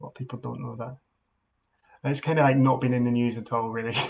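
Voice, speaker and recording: A man with a Scottish accent talks in a somewhat breathy, monotone, flat voice. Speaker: political campaign volunteer. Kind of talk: phone canvassing call, live-streamed. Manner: hesitant, many fillers and restarts.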